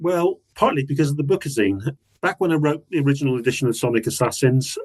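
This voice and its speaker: A man is speaking. He has an English accent. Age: 60s. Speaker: music author. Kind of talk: casual chat. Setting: video call.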